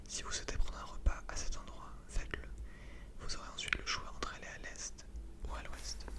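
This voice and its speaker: Noticeable background noise sits behind a voice moving at a moderate pace with long, frequent pauses. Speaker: channel host reading a gamebook aloud and playing along. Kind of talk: reading book text aloud in second person.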